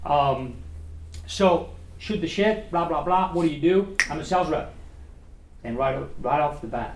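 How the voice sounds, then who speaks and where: Over noticeable background noise and audible room echo, a man with a fairly high pitch speaks at a moderate pace with lively intonation. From France (Paris). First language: French. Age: 50s. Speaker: restaurant owner and former sales representative. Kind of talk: guest talk at a speaking club. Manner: animated.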